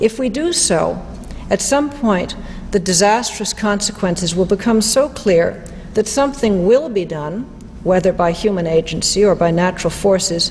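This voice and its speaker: Amid noticeable background noise, a woman of medium pitch speaks at a moderate pace with lively intonation. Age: 60s. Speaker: economist and lecturer. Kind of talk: lecture.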